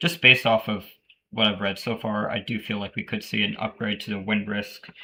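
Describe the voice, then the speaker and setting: The speaker is a man with a fairly low pitch. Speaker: weather streamer. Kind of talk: live weather briefing, reading forecast text aloud. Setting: live stream. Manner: halting, many fillers and restarts.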